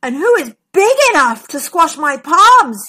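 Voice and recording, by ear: Putting on a character voice, a woman speaks at a fairly slow pace in a high, bright, sharp tone with big pitch swings.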